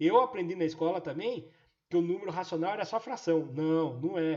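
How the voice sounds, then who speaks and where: The man's voice sits at a high pitch. He talks at a moderate pace with lively intonation. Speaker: math teacher. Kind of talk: live online class. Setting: live online class via app.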